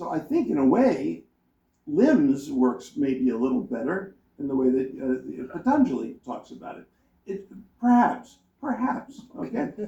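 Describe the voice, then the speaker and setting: A man mumbling at a fairly slow pace, with big swings in loudness. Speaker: professor reviewing a book on a panel. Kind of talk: academic panel talk. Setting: conference panel with audience. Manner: halting, many repeated words.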